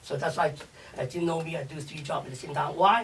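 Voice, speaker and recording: A man's fairly high voice at a fairly quick pace, in a Chinese accent, with ordinary pitch variation. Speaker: chef and restaurateur. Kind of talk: interview. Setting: radio show. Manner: energetic, fast.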